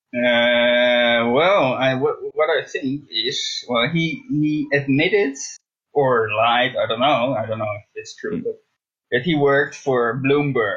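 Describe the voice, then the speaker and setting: This man speaks with a Dutch accent. His pace is fairly slow. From Netherlands. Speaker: guest. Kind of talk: casual chat.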